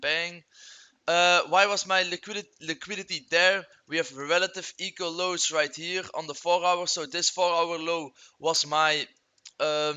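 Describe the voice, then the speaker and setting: The pace is moderate. This speaker has a non-native accent. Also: man. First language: not English. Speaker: trading youtuber. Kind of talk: screen-share tutorial. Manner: casual, halting with fillers.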